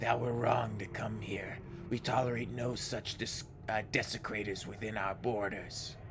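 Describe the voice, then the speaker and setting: Over loud background noise, a man puts on a booming, resonant character voice at a medium pitch and a moderate pace. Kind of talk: archaic formal speech. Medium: game stream. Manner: solemn, stern.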